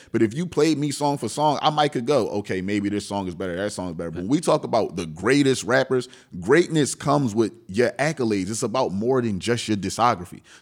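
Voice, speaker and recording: A man speaks at a medium pitch with a normal speaking voice, at a fairly quick pace. His intonation is lively and he hardly pauses. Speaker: rapper. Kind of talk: casual interview chat.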